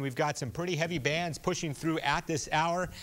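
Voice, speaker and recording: At a moderate pace and a fairly high pitch, a man speaks in a normal speaking voice on a very clean recording with a silent background. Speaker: television chief meteorologist. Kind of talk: TV weather forecast broadcast.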